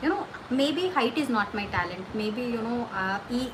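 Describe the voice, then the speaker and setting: Audible room echo and noticeable background noise surround a woman speaking at a high pitch. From India. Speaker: livestream host giving career advice. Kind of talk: casual livestream chat answering viewer questions. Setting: livestream.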